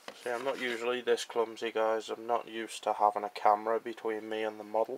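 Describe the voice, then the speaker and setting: In an English accent, a man talks quietly at a very fast pace. His medium-pitched voice is monotone, with flat intonation. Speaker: hobbyist model builder. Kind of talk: casual tutorial-style build commentary.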